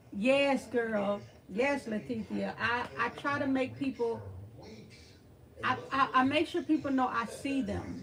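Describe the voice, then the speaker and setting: Someone with an American accent speaks at a fairly slow pace with long, frequent pauses over noticeable background noise. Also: woman, high pitch for a woman. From Texas (Beaumont). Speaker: thrift channel host. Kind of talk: livestream chat with viewers. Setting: livestream. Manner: animated.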